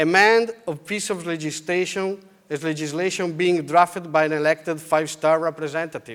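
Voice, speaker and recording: A man talks at a moderate pace with an Italian accent. His pitch is high, and its variation is ordinary. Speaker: politician. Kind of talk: conference speech. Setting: stage with audience.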